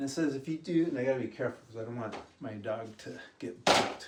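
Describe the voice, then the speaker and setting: A man's somewhat breathy voice with lively intonation. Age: 60s. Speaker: fitness vlogger. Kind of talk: casual tutorial. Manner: casual, rambling delivery.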